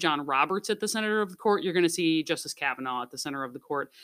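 A woman speaks in a fairly low pitch with a bright, sharp tone. The recording is very clean, with a silent background. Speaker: school newspaper advisor. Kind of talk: interview. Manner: halting.

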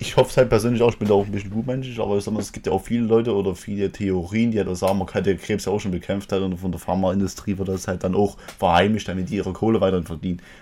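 A man with a fairly low pitch, very fast pace, fairly even intonation and hardly any pauses, over noticeable background noise. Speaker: podcast and stream host. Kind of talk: casual chat. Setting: live Twitch stream.

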